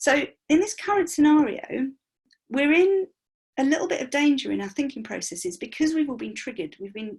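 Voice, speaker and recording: A woman talks at a fairly quick pace. Her pitch makes very wide swings. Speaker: money mindset coach. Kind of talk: online workshop presentation. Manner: fast.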